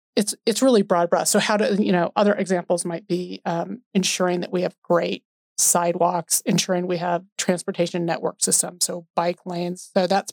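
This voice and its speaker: A woman with an American accent, a plain, everyday voice, fairly low pitch, fairly even intonation and a moderate pace, in a dry, close sound with no echo. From US West, Denver, Colorado. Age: 50s. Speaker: city planning director. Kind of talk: casual interview.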